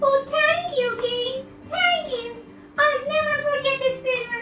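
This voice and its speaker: A cartoonish character voice with a cheerful tone speaks at a fairly slow pace over clear music in the background. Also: woman, extremely high pitch for a woman. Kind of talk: puppet show story for young children. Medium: puppet. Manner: squeaky, pleading then cheerful.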